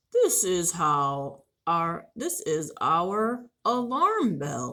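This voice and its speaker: A woman does a put-on character voice at a medium pitch and a very slow pace. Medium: read story. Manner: friendly, proud, explaining.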